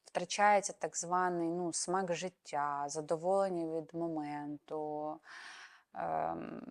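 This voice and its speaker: Intonation stays fairly even throughout the very slow delivery. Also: woman, fairly low pitch for a woman. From Ukraine. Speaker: psychologist and psychotherapist. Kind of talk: educational talk to camera.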